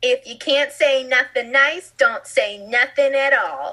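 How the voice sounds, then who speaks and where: A female-sounding voice puts on a cartoonish character voice, speaking at a high pitch and a fairly slow pace. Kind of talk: childlike, cartoonish. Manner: imitating a cartoon character voice.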